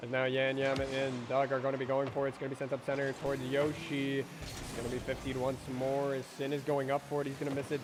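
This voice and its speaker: Over noticeable background noise, a man with a fairly high pitch speaks in an energetic tone at a fairly quick pace. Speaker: esports commentator. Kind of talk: live commentary. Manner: fast, energetic play-by-play.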